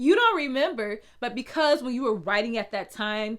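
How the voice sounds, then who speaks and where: A fairly high-pitched woman with a slight Southern US accent and lively intonation. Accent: slight Southern twang. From US South. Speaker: blogging coach. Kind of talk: tutorial. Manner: casual, conversational.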